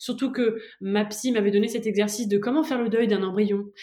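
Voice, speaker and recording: Her pace is very fast. The woman's voice sits at a fairly high pitch with ordinary pitch variation. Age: 30s. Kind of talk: personal testimony interview.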